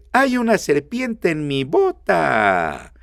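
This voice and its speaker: A man's put-on character voice at a fairly high pitch. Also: very slow pace. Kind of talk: folksy, playful.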